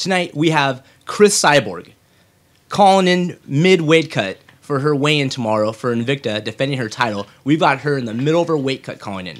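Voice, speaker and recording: A man speaks at a moderate pace. His intonation is lively. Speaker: podcast host. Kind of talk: show intro announcement. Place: home room.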